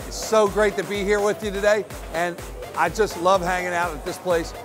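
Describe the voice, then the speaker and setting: Over clear music in the background, a man talks at a moderate pace in a high pitch. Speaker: team announcer and host. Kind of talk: upbeat promo host talk to camera. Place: bar. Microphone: lapel.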